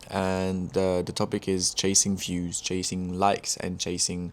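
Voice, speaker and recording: A man with a French accent speaks at a fairly slow pace in a very deep, low, monotone voice with flat intonation, on a very clean recording with a silent background. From France. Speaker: music producer and artist. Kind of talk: casual vlog monologue. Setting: talking to camera. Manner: halting.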